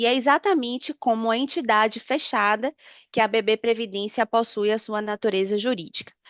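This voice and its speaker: A woman with a northeastern Brazilian accent speaks at a moderate pace in a fairly high voice with ordinary pitch variation, and the sound is dry and close with no echo. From Northeast Brazil. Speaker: pension fund business analyst. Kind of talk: webinar presentation. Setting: online webinar.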